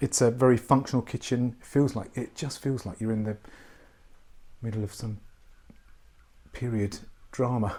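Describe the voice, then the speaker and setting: A man speaks quietly in a dark, mellow tone with fairly even intonation and long, frequent pauses. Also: medium pitch for a man, moderate pace. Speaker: property tour presenter. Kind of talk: walkthrough property tour. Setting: indoors in a historic house. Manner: quiet, hushed; halting with restarts.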